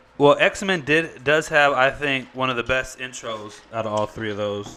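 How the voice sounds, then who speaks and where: Spoken at a moderate pace with ordinary pitch variation, the voice comes over noticeable background noise. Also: man, medium pitch for a man. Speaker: podcast co-host. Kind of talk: casual chat.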